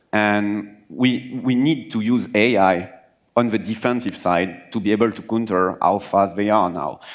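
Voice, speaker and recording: A man with a French accent talks fairly slowly in a fairly low pitch, with ordinary pitch variation. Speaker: cybersecurity manager. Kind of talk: panel discussion.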